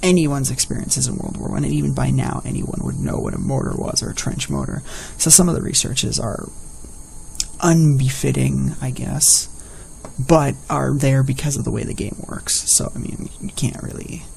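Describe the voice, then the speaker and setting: A soft-spoken man talks at a moderate pace. The room echo is audible, and the background noise is noticeable. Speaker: gaming video creator. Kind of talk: let's play commentary. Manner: animated.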